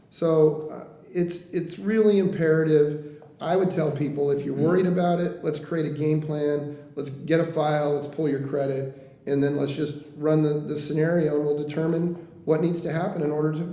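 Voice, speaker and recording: Hardly pausing, a man with an American accent speaks in a fairly high pitch with fairly even intonation, amid audible room echo and noticeable background noise. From Oregon coast (Coos Bay). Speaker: mortgage lender. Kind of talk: interview. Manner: fast.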